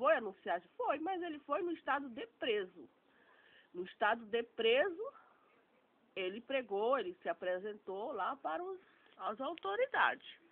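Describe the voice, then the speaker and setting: A woman speaks in a high voice at a fairly slow pace, her pitch swinging very widely, with long, frequent pauses. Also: big swings in loudness. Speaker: online theology student. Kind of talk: informal religious talk.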